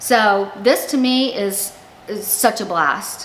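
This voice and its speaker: Noticeable background noise and audible room echo surround a woman's voice. She has a fairly high pitch and lively intonation. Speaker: YouTuber. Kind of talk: casual vlog talk. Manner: halting.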